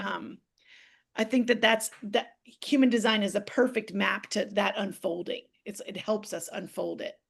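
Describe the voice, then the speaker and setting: A woman speaks in a put-on character voice, raspy and fairly high-pitched, at a moderate pace with big swings in loudness. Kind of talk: excited, rapid speech.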